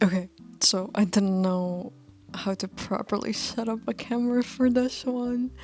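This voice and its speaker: A woman with a non-native accent, a fairly slow pace and fairly even intonation. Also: fairly high pitch for a woman. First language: not English. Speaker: fashion student vlogger. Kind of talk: casual vlog talk. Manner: halting, many fillers and restarts.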